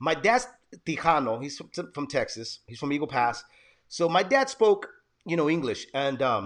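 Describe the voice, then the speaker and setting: Over a quiet background, a man with a fairly high pitch talks at a moderate pace, his intonation lively and his loudness swinging widely. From San Jose, California. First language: Spanish. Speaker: podcast host. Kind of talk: casual interview chat.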